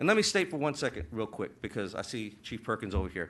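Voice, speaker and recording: With a bright, sharp tone, the voice moves at a fairly quick pace against a quiet background. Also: man. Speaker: city council member. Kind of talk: public meeting statement. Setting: city council chamber. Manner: halting, many fillers.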